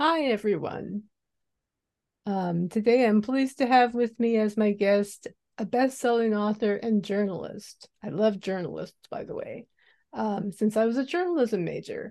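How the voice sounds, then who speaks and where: Moderate pace and ordinary pitch variation from a woman with a plain, everyday voice, fairly high in pitch. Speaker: podcast host and crime writer. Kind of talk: interview intro and casual chat. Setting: video call.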